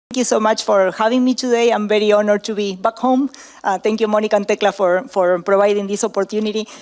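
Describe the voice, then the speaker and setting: Talking at a very fast pace, a woman uses a fairly high pitch and a monotone, flat intonation. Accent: Argentinian. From Argentina. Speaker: professor. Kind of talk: conference talk. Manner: halting, many fillers.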